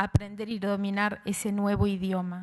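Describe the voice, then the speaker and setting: Hers is a normal speaking voice, a woman's at a fairly high pitch. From Argentina. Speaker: writer and literature professor. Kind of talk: conference talk.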